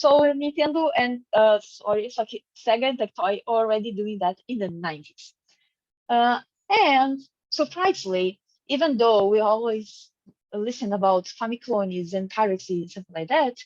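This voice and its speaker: Speaking at a moderate pace with a Portuguese accent, a woman uses lively intonation and a fairly high pitch, the sound dry and close with no echo. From Brazil. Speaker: academic researcher. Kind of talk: conference presentation. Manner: halting, many fillers.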